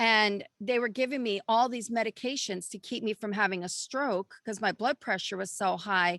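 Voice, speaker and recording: With an American accent, a woman speaks at a moderate pace in a fairly high, bright, sharp, animated voice with ordinary pitch variation, and the sound is dry and close with no echo over a quiet background. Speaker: health coach. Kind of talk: casual chat.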